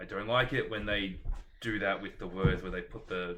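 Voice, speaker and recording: Audible room echo surrounds a man speaking with an Australian accent. His pitch is fairly low, with ordinary pitch variation. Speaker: book vlogger. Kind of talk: casual chat.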